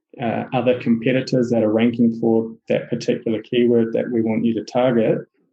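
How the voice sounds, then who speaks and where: Intonation is monotone and flat as a man with a New Zealand accent speaks at a medium pitch. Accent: Kiwi. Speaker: SEO agency owner. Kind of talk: podcast interview. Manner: hesitant, many fillers.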